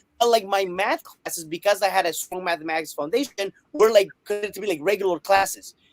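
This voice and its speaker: With a Spanish accent, a man talks at a fairly quick pace in a high pitch with ordinary pitch variation, the sound dry and close with no echo. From Colombia. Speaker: math teacher and author. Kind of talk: interview.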